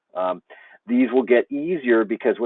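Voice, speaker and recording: With an American accent, a man speaks at a moderate pace and ordinary pitch variation. The sound is dry with no echo over a quiet background. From United States. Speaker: teacher trainer; teacher explaining course tools. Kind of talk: tutorial. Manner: casual, with fillers.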